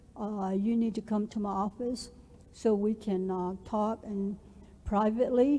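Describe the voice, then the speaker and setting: A woman's fairly high, somewhat breathy voice with a dark, mellow tone, at a fairly slow pace with monotone, flat intonation. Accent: Southwestern US. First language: Navajo. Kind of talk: orientation presentation. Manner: halting, many fillers.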